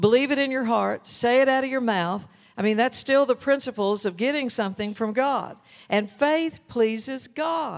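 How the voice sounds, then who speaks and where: A very clean recording with a silent background, speech at a moderate pace. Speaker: minister. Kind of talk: sermon. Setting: church.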